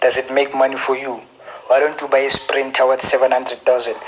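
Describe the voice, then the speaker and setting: Against noticeable background noise, a man with a South African accent speaks at a fairly high pitch. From South Africa, Gauteng. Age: 20s. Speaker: forex trader. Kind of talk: casual advice talk / Q&A. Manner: repetitive, stammering restarts.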